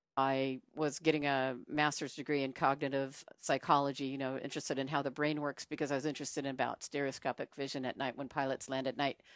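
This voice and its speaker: With an American accent, a woman talks at a very fast pace with hardly any pauses, in a very deep, low pitch and monotone, flat intonation, over a quiet background. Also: dry, close sound with no echo. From US, military kid (Sacramento, South Dakota). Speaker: airline pilot. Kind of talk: casual conversation interview.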